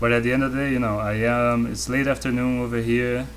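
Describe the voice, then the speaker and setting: Speaking in a Portuguese accent, a man has a relaxed tone, and audible room echo surrounds his voice. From Brazil. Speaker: artist streamer. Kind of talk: casual chat. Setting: live stream from home studio. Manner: relaxed, low energy.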